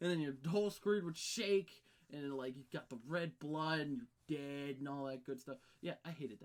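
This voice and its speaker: A man speaks at a moderate pace with a fairly high pitch. His loudness swings widely while his pitch varies in an ordinary way. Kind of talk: gameplay commentary. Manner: rambling, casual.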